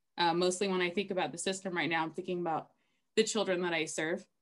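A woman with an American accent speaks at a medium pitch, her intonation fairly even against a quiet background. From Los Angeles, US. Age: 30s. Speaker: author and therapist. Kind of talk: testimony; casual chat. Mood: earnest, personal, reflective. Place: home room. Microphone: webcam.

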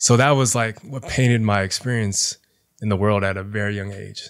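A man's fairly low voice at a moderate pace, set against a quiet background. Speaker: high school teacher and DJ; high school teacher, DJ. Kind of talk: casual interview conversation. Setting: on camera. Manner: animated. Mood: reflective, personal storytelling. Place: home room. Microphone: studio mic.

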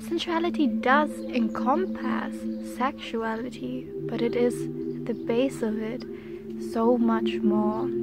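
A soft-spoken woman talks at a very slow pace over music in the background. The sound is dry, with no echo. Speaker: reiki practitioner / energy healer. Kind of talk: ASMR reiki healing guided meditation. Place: garden. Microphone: phone near.

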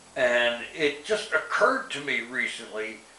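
Audible room echo surrounds this man's voice. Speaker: vlogger giving an update. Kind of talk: casual vlog chat. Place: home room.

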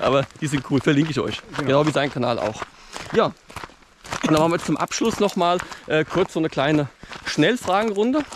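A man with a fairly high voice talks at a fairly quick clip, with lively intonation, long and frequent pauses, and noticeable background noise. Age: 30s. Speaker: mountaineering YouTuber. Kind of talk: interview during a mountain hike. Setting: outdoors on a mountain.

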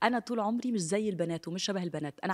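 Someone with an Egyptian accent talks at a fairly quick pace, with lively intonation and an animated tone. The background is quiet. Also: woman. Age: 30s. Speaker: TV presenter. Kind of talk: interview. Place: studio. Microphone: studio mic.

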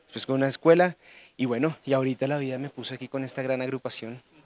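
A man's medium-pitched voice at a fairly quick pace, with a dry sound, no echo and light background noise. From Colombia. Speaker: saxophonist and band conductor. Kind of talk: interview. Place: hall. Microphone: handheld.

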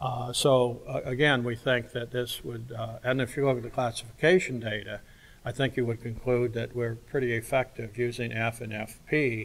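A moderate pace with monotone, flat intonation. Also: man. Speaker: psychology professor; award lecturer. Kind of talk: award acceptance speech. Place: hall. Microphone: lapel.

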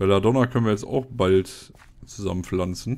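Dark and mellow in tone, a man's fairly low voice moves with ordinary pitch variation. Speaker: gaming YouTuber. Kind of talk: casual commentated gameplay, let's play. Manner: casual, chatty.

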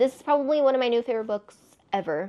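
The speaker has an American accent and an animated tone. Pitch varies in an ordinary way. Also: woman. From Texas. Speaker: book vlogger. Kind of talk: casual monologue to camera. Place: home room.

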